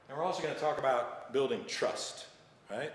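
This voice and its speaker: Amid noticeable background noise and audible room echo, a man talks in an American accent. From United States. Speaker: leadership trainer. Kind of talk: presentation. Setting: live online training.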